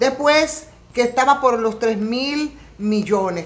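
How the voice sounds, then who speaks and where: Against noticeable background noise, a woman with a high pitch talks at a fairly slow pace, her tone animated and her intonation lively. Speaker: political commentator. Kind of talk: political commentary. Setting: home studio set.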